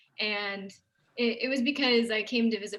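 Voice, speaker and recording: A normal speaking voice at a moderate pace with fairly even intonation. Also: woman. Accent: American. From Texarkana, Texas. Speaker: theater producer. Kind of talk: casual chat.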